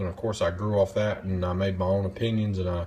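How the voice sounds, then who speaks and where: With a Southern US accent, a man speaks at a moderate pace in a very deep, low, somewhat breathy voice with monotone, flat intonation. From US South, North Carolina. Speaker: knife reviewer. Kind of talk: casual vlog monologue. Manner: rambling, hesitant with fillers.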